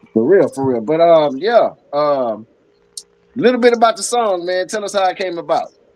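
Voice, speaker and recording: A high-pitched man with very wide pitch swings, at a moderate pace. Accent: Southern US. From northern Louisiana (Ruston). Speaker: podcast host. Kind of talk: casual chat.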